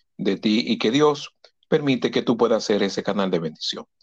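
At a moderate pace, a man speaks in a normal speaking voice with fairly even intonation. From Dominican Republic, Santo Domingo. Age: 50s. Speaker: lawyer and Red Cross volunteer. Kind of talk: interview.

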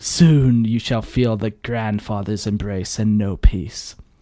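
Taking a fairly slow pace, a man puts on a character voice. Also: medium pitch for a man. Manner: menacing, theatrical.

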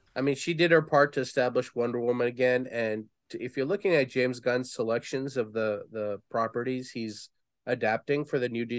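A man speaks in an ordinary speaking voice at medium pitch with ordinary pitch variation. The pace is moderate and the background quiet. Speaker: podcast co-host. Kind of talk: casual chat. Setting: live stream.

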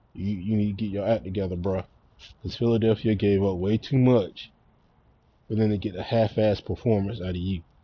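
A man with a Southern US accent talks in a fairly low voice. His pace is fairly quick, broken by long, frequent pauses. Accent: country Southern US. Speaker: sports podcast host. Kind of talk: casual sports opinion monologue. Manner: stumbles over words; animated.

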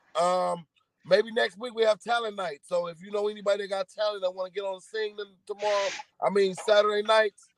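A fairly quick man with an American accent and monotone, flat intonation, in a dry, close sound with no echo. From California. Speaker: podcast co-host. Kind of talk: fervent closing prayer, earnest and preacher-like. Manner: raw, loud, profane banter.

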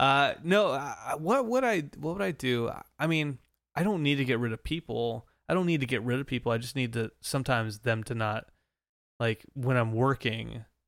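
Medium-pitched male speech at a moderate pace, in an ordinary speaking voice with ordinary pitch variation. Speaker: podcast host. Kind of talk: casual banter interview.

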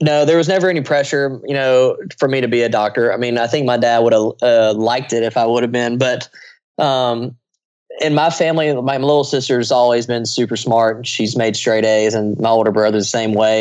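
Speaking with an American accent, a man has a plain, everyday voice. His pitch is medium and his pace moderate. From US South, small-town Louisiana. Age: 20s. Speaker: aerobatic air show pilot. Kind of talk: casual interview.

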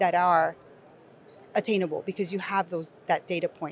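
Someone talks at a moderate pace in a Spanish accent. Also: woman. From Nicaragua. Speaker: education company executive. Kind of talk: conversational panel discussion. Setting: recorded at an education conference.

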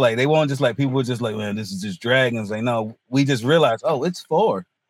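A man with a North Carolina accent, medium pitch, ordinary pitch variation and a fairly quick pace. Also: hardly any pauses. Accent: US South, North Carolina. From North Carolina, Hertford. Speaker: comedian. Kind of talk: casual chat.

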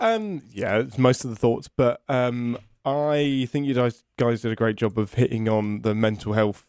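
This man has a medium-pitched, normal speaking voice and talks at a fairly slow pace with hardly any pauses, his loudness very even and his intonation fairly level. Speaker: podcast co-host and writer. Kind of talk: casual chat.

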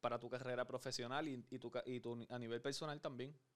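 A man at a moderate pace, in a monotone, flat intonation. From Puerto Rico. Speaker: podcast host. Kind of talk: casual interview.

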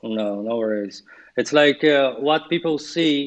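Speaking with a Portuguese accent, a man uses a medium pitch and ordinary pitch variation. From Brazil. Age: 40s. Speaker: yoga teacher. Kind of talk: casual interview chat.

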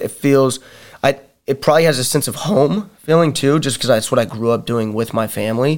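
His is a normal speaking voice with a medium pitch. He talks fairly quickly, and his pitch varies in an ordinary way. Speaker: wrestler and fighter. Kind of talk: casual chat. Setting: studio.

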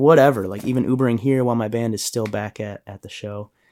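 Here a man talks at a fairly quick pace. He has an unremarkable speaking voice. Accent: American. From Illinois, Chicago area. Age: 30s. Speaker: musician. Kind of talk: interview.

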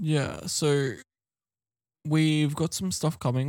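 A fairly slow pace in a very clean recording with a silent background, dry and close with no echo. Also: man. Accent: Australian. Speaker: podcast co-host. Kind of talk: casual chat.

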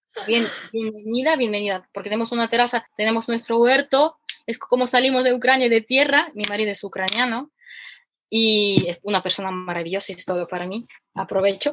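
This woman's voice is bright and sharp, fairly high in pitch. She speaks at a fairly quick pace with ordinary pitch variation. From Ukraine. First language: Ukrainian or Russian (speaking Spanish). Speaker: economist and former cooking teacher. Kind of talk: casual interview. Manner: animated; halting.

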